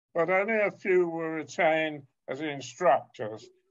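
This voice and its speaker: A man with a British accent speaks at a fairly slow pace, with ordinary pitch variation against a quiet background. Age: 80s+. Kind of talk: interview. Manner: halting.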